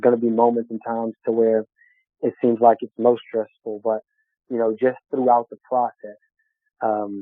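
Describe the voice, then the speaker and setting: A man with a strong Southern US accent speaks at a medium pitch in a monotone, flat intonation. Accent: strong country Southern. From Texas, small town. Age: 30s. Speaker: business owner. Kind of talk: interview. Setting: podcast. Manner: draws out words, not fast; halting, many fillers.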